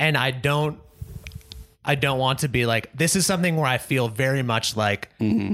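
A man with an ordinary speaking voice talks at medium pitch and a moderate pace, with ordinary pitch variation and very even loudness. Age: 30s. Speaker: movie podcast co-host. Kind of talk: casual chat.

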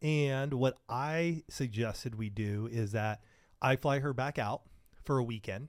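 A man with a plain, everyday voice at a fairly slow pace, in a very clean recording with a silent background. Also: medium pitch for a man, ordinary pitch variation. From Southern California. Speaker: marriage podcaster. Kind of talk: casual interview.

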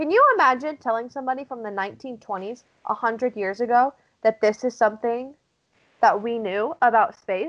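A woman speaks at a moderate pace in a plain, everyday voice. Her pitch sits fairly high and varies in an ordinary way. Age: 20s. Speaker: podcast co-host. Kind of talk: casual chat.

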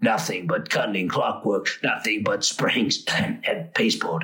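A man in a put-on character voice at a medium pitch. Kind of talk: mock showman's spiel. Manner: playful, ironic, rambling.

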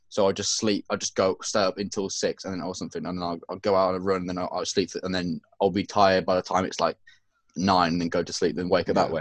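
In an English accent, a man speaks very fast with a very deep, low pitch and monotone, flat intonation, in a dry, close sound with no echo over a quiet background. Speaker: podcast co-host. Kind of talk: casual chat.

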